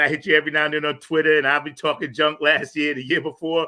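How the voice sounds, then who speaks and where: A man's fairly high-pitched voice in a New York accent. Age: 60s. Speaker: podcast host and music maker. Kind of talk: casual interview chat. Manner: animated.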